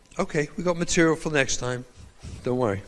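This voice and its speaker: In an English accent, a man talks at a fairly quick pace with a fairly high pitch. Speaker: rabbi and trauma educator. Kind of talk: lecture.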